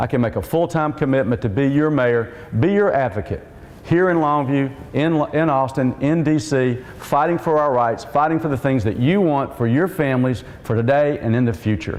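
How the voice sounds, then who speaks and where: Audible room echo and noticeable background noise surround a man whose fairly high voice moves at a moderate pace with ordinary pitch variation. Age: 60s. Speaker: mayoral candidate and city council member. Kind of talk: political debate. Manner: earnest, direct address to audience.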